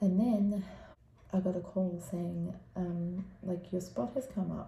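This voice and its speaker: A woman speaks quietly, with audible echo from the room. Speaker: parenting vlogger. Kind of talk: casual vlog update. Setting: room at sleep school. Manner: speaking quietly.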